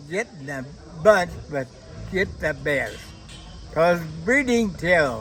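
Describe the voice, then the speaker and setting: Over music in the background, a man talks at a very slow pace with very wide pitch swings. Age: 80s+. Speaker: harness racing horseman. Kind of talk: interview answer.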